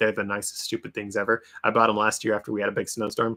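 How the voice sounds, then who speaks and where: Over a very clean recording with a silent background, a man talks very fast at a fairly low pitch. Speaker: antique book reseller, YouTuber. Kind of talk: live stream Q&A, casual chat. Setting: live stream. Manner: animated.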